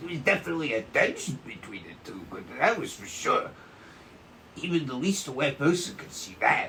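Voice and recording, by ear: A man uses a put-on character voice, fairly high in pitch with a bright, sharp tone and big pitch swings. He talks at a moderate pace over faint background noise.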